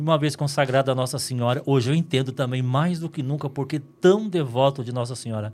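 This man talks at a fairly quick pace with hardly any pauses, a fairly high pitch and ordinary pitch variation. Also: very clean recording, silent background. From northern Minas Gerais, Brazil. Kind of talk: interview conversation. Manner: calm.

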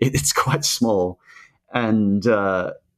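With an Australian accent, a man speaks in a fairly low pitch against a quiet background. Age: 30s. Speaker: YouTube cartoon creator. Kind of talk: casual interview. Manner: halting, many fillers.

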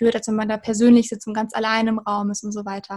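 This woman's voice is fairly high in pitch and somewhat breathy. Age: 20s. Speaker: university student. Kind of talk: interview about studying.

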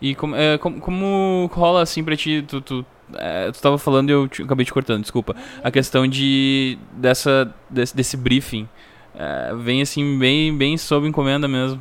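In a normal speaking voice, a man with a fairly high pitch talks at a moderate pace, his pitch varying in an ordinary way. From Rio Grande do Sul, Brazil (Três Coroas). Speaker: podcast host and musician. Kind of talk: casual interview. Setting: at home.

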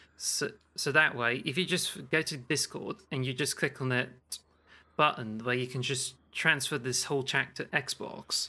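With a slight Cornish accent, a man speaks at a fairly slow pace and medium pitch, his bright, sharp tone carrying fairly even intonation in a very clean recording with a silent background. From Cornwall, raised among farmers. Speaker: podcast co-host.

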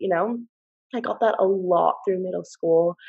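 A woman speaks in a New Jersey accent. Her pace is moderate. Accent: American (New Jersey). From US, New Jersey. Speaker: university student. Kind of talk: casual chat.

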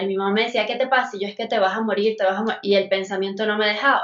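With an ordinary speaking voice, a woman talks at a fairly high pitch and with fairly even intonation. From Venezuela. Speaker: guest sharing recovery story. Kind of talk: testimony.

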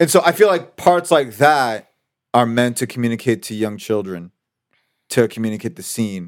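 With a plain, everyday voice, a man talks at medium pitch and a moderate pace, his intonation lively, in a very clean recording with a silent background. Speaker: podcast host. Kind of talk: casual chat.

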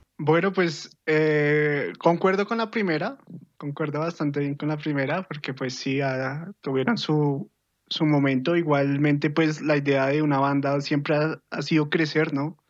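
A man's fairly high-pitched, ordinary speaking voice at a fairly slow pace, with fairly even intonation and a quiet background. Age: 20s. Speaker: podcast guest. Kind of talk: casual chat.

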